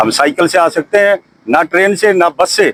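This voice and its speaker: A man's high-pitched voice comes through in a dry, close sound with no echo. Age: 60s. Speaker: retired army soldier. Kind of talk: street interview.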